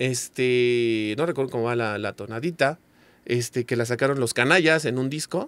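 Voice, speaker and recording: Dry sound with no echo carries a man's medium-pitched voice. He keeps a moderate pace with ordinary pitch variation. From Mexico. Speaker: ska singer and songwriter; guest. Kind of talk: casual chat. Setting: studio. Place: studio. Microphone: studio mic.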